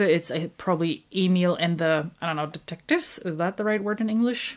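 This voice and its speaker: On a very clean recording with a silent background, a woman with a fairly low pitch talks at a moderate pace with ordinary pitch variation. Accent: German. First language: German. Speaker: book YouTuber. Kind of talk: casual monologue.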